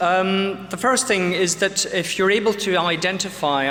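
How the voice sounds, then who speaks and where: A man speaks amid noticeable background noise, and the room echo is audible. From UK. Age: 40s. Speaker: pediatrician and lecturer. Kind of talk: lecture. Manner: many filler sounds (um, uh).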